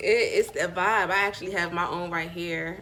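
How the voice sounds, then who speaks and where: With a Southern US accent, a woman speaks at a medium pitch and moderate pace amid audible room echo. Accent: sounds country (Southern US). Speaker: spiritual vlogger and small business owner. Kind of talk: casual vlog with product pitch.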